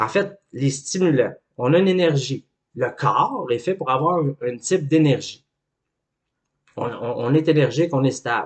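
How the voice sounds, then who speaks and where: A man with a Quebec accent and a fairly high pitch speaks at a fairly slow pace with long, frequent pauses. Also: ordinary pitch variation. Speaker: life coach. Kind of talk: educational talk.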